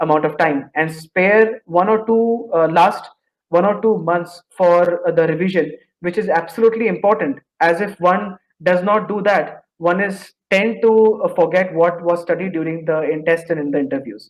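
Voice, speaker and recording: Speaking with an Indian accent at a moderate pace, this man has a high pitch and ordinary pitch variation. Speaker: engineering graduate student. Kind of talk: interview about job placement.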